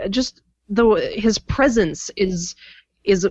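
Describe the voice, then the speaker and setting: A woman speaks in an unremarkable speaking voice, fairly high in pitch, with ordinary pitch variation. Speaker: podcast co-host. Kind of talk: podcast interview and intro.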